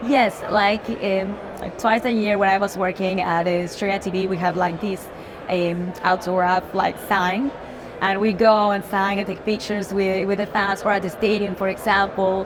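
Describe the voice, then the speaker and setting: A woman speaks in a strong Spanish accent at a moderate pace, her intonation monotone and flat, with noticeable background noise and audible room echo. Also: medium pitch for a woman. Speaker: news and sports anchor. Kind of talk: interview. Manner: halting.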